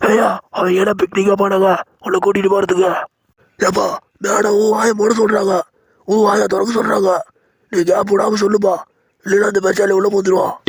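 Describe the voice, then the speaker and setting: A cartoonish character voice delivered in a monotone with flat intonation and very even loudness. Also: man, high pitch for a man, moderate pace. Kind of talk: comic village dialect. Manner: teasing, chatty, ends lines with "pa".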